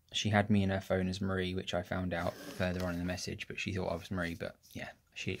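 Over noticeable background noise, a man speaks in a very deep, low voice with monotone, flat intonation. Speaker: vlogger. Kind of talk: casual vlog chat. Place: home room. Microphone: phone near.

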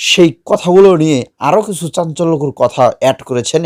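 A man with a fairly high pitch uses a normal speaking voice and lively intonation, recorded with a dry, close sound and no echo. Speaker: news channel presenter. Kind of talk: news commentary.

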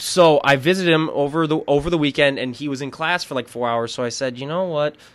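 Speaking at a very fast pace, a man uses an Upper Midwestern accent. His pitch is fairly high with ordinary variation. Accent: upper Midwestern, slightly Canadian-sounding. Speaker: podcast host. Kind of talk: casual interview.

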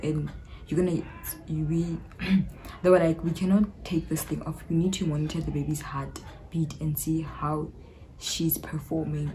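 With a South African accent, a woman speaks in a very deep, low voice at a moderate pace, her intonation monotone and flat, against noticeable background noise. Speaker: YouTuber. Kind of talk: casual talk to camera. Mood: animated, recounting a painful labour. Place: home room. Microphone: phone near.

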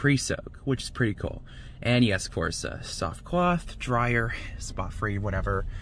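A bright, sharp tone over light background noise. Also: man, dry sound with no echo. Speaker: car wash vlogger. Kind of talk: casual vlog commentary. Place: car.

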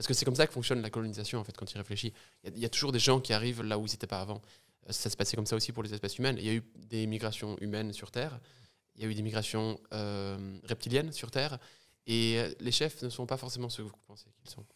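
A man talks at a very fast pace with fairly even intonation. The background is quiet. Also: medium pitch for a man. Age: 20s. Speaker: podcast guest. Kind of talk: casual chat. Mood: light, joking tone. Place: studio. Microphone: studio mic.

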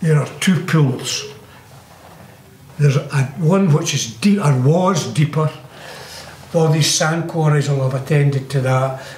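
A man with a Scottish accent, fairly high in pitch, at a fairly slow pace with long, frequent pauses and very even loudness, amid audible room echo and light background noise. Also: fairly even intonation. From Glassford, South Lanarkshire, Scotland. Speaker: local resident recalling the past. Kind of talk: interview answer. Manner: hesitant, rambling. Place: home room.

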